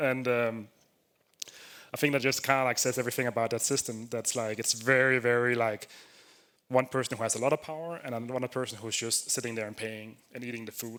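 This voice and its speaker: A man speaks with a Danish accent at a fairly quick pace, his tone bright and sharp and his intonation monotone and flat. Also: medium pitch for a man. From Denmark. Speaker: software developer, conference speaker. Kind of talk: conference talk. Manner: casual, filler-heavy.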